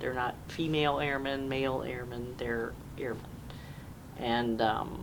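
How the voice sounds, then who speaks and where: A woman's very deep, low voice, fairly slow and monotone, with long, frequent pauses, audible room echo and noticeable background noise. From US Northeast (Jamestown, New York). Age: 60s. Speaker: military veteran. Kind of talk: oral history interview.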